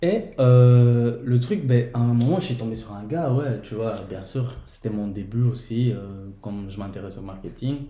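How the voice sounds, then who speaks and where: A somewhat breathy voice with a dark, mellow tone moves at a fairly slow pace, with ordinary pitch variation. Loudness swings widely, and room echo is audible. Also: man, medium pitch for a man. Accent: Portuguese. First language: Portuguese (speaking French). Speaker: podcast guest. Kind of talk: casual chat.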